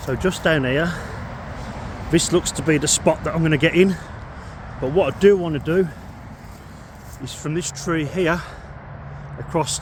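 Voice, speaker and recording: Amid noticeable background noise, a man with a British accent speaks at a fairly high pitch with fairly even intonation and long, frequent pauses. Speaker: outdoor camping vlogger. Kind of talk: casual vlog narration. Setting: outdoors. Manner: loud.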